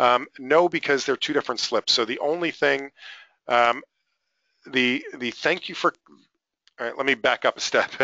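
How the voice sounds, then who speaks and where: A man's put-on character voice, raspy and medium in pitch, at a moderate pace with long, frequent pauses. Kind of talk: explaining, presenting. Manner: speaking too fast.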